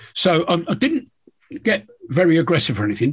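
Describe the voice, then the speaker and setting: A man with a southern English accent speaks at a high pitch. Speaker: podcast host, angler and fishing TV presenter. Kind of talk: casual chat. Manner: stammering repeats.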